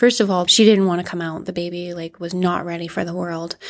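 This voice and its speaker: The delivery is monotone and flat, with a Canadian accent. The recording is very clean and the background silent. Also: woman. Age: 30s. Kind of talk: interview, personal storytelling.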